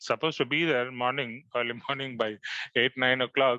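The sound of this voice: The voice is an unforced reading voice. Its intonation holds fairly even.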